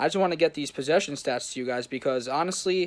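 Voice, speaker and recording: This man talks at a very fast pace with ordinary pitch variation and a fairly high pitch. The recording is very clean, with a silent background. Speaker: football YouTuber / fan commentator. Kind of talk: casual match recap vlog. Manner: hesitant, many fillers.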